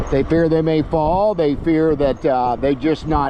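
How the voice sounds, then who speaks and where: In a relaxed tone, a man with a fairly high pitch speaks at a fairly slow pace, the sound dry with no echo but with noticeable background noise. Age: 70s. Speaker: e-bike reviewer and vlogger; e-bike reviewer. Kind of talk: casual vlog while riding; casual vlog chat. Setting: outdoors on a bike trail. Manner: relaxed, with frequent filler pauses. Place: bicycle.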